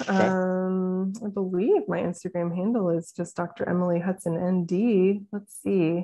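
A woman speaks with a Midwestern American accent. Her pace is fairly slow. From St. Louis, Missouri; Missouri. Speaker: naturopathic doctor; interview guest. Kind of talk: casual interview. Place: home room. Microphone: video call.

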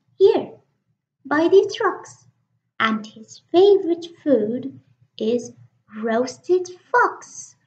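Using a put-on character voice, a woman speaks at an extremely high pitch with very wide pitch swings, at a very slow pace with long, frequent pauses. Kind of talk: children's picture book reading. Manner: cheeky, boastful, confident.

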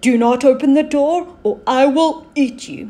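The speaker uses a put-on character voice with high pitch. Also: moderate pace. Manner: threatening.

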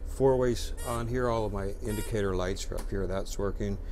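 A man talking at a fairly quick pace over light background noise. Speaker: bus operator or trainer. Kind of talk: tutorial. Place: bus.

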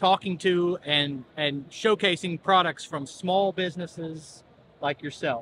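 A man's high-pitched, fairly bright voice at a fairly slow pace, with ordinary pitch variation.

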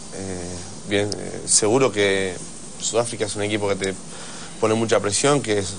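Here a man talks with a fairly low pitch. There is light background noise. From Argentina. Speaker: rugby player; guest. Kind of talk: TV interview. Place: studio. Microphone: lapel.

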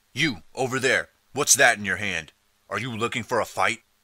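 A gruff, booming put-on character voice from a man, medium in pitch, at a moderate pace, on a very clean recording with a silent background. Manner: bored, gruff.

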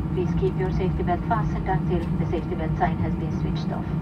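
Loud background noise fills the clip. Over it, a woman talks at a fairly quick pace. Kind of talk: in-flight announcement. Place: plane.

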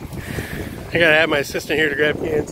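The speech moves at a moderate pace, the sound dry with no echo and light noise in the background. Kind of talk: casual tutorial narration. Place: garden. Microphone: phone near.

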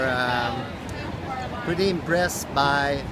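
A man's voice sounds dry, with no echo. Loud noise fills the background. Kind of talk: interview answer. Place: street. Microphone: phone near.

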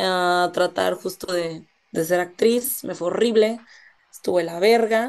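A woman's very slow speech with ordinary pitch variation. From northern Mexico, Monterrey; northern Mexico. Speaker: actress; interview guest, actress. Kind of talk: interview. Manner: casual, slangy. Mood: casual, candid, slangy. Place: home room. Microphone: video call.

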